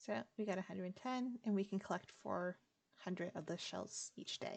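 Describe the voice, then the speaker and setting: Soft-spoken and at a moderate pace, a woman talks at a medium pitch with fairly even intonation. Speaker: gaming streamer. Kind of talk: game commentary. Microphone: quiet audio.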